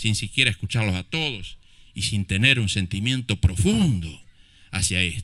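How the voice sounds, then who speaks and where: In a very clean recording with a silent background, a man with a fairly low pitch and a bright, sharp tone speaks at a fairly slow pace with ordinary pitch variation. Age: 50s. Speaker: mayor. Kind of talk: public speech at commemoration ceremony. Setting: outdoor public ceremony in a plaza. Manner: impassioned.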